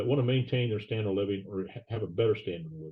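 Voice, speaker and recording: A man's somewhat breathy voice. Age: 70s. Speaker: financial advisor. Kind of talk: podcast interview. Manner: hesitant with fillers.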